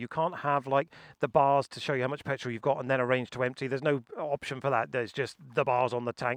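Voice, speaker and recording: A man with an English accent speaks at a fairly high pitch, the sound dry and close with no echo over a quiet background. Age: 50s. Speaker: motorcycle YouTuber. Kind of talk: owner's review vlog. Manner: casual.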